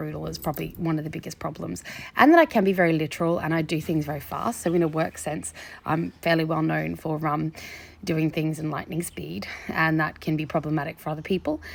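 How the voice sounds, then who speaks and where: A woman with a very deep, low pitch and vocal fry speaks at a fairly quick pace. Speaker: social media creator. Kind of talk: casual monologue to camera. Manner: fast; animated.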